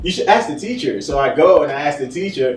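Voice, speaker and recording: Amid background music and audible room echo, a man talks very fast with lively intonation. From Nigeria, moved to Newark, New Jersey in second grade. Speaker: podcast guest. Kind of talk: casual chat. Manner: casual, many fillers.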